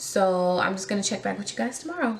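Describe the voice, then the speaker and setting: Medium-pitched woman's voice with ordinary pitch variation, audible room echo and noticeable background noise. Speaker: beauty vlogger. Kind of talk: casual vlog. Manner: hesitant, many fillers.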